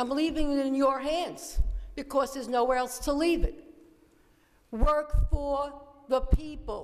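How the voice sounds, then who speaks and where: A woman with high pitch, a fairly slow pace, fairly even intonation, long, frequent pauses, and noticeable background noise. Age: 70s. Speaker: resident speaking at public hearing. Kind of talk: public comment.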